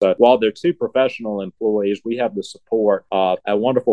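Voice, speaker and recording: Talking at a fairly quick pace, a man with an Alabama accent has a fairly low pitch and ordinary pitch variation. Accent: Southern US (Alabama). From US South, Selma, Alabama. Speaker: museum curator. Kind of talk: interview.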